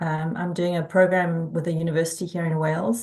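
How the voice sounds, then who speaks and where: In a South African accent, a woman speaks at a moderate pace with a fairly low pitch and fairly even intonation. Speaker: community organizer. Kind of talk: casual chat.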